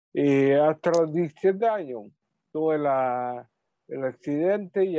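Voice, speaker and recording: A man talks at a very slow pace with a fairly high pitch. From Chile, Talcahuano. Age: 30s. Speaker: musician. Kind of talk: radio interview. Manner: halting.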